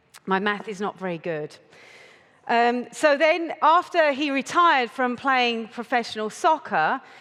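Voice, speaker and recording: Speaking at a fairly slow pace, a woman with an English accent uses a high pitch, a bright, sharp tone and very wide pitch swings. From United Kingdom. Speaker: conference speaker. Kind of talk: talk to a live audience. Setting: stage with audience.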